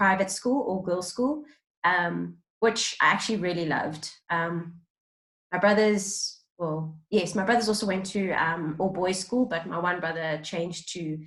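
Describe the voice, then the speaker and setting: This woman has a South African accent and a medium pitch. She talks at a fairly slow pace. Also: ordinary pitch variation. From South Africa, Johannesburg. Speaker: role-play client. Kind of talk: counseling intake interview. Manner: hesitant, many fillers.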